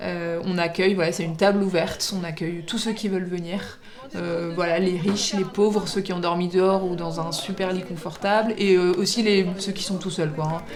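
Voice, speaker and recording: A woman speaks at a moderate pace in a medium pitch, her intonation monotone and flat, with audible room echo and noticeable background noise. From Paris, France. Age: 30s. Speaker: general practitioner and volunteer. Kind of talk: documentary interview. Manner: halting, many hesitations.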